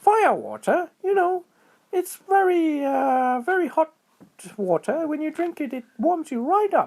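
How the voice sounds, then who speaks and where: Squeaky and high-pitched, this put-on character voice moves at a fairly slow pace. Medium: read story. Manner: starts every line with "oh, hi".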